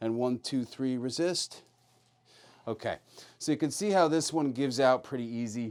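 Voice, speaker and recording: Talking at a fairly quick pace, a man with an American accent has a medium pitch and ordinary pitch variation. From New York City. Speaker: chiropractor. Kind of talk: treatment demonstration.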